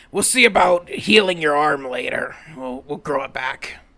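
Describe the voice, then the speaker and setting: A raspy man doing a put-on character voice, fairly high-pitched, with lively intonation, big swings in loudness and a moderate pace. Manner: terse, gruff, obsessive.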